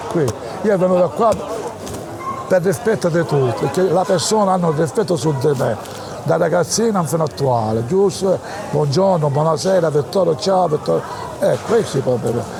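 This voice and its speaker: Speaking at a moderate pace with lively intonation, a high-pitched man keeps his loudness very even and leaves long, frequent pauses, amid audible room echo and noticeable background noise. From Palermo, Sicily. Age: 80s+. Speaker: elderly local resident. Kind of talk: personal storytelling interview. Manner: halting, repetitive.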